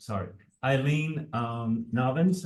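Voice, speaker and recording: A man with a medium pitch speaks in a somewhat breathy voice. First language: Spanish. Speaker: nonprofit board chair. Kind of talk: moderating panel.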